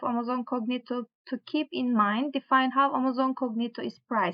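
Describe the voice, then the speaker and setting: A woman talks at a fairly quick pace and a high pitch in a strong non-native accent, with a quiet background behind her. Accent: strong foreign accent (own remark). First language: not English. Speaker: tech tutorial creator. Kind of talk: tutorial, reading course material aloud; reading course text aloud with casual asides. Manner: halting, with fillers and self-corrections. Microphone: webcam.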